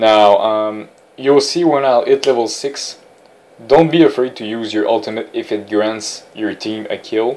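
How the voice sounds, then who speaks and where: A man with a non-native accent, fairly slow pace and ordinary pitch variation. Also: medium pitch for a man. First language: not English. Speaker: gaming tutorial creator. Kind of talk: gameplay commentary tutorial. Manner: halting with fillers and repetitions.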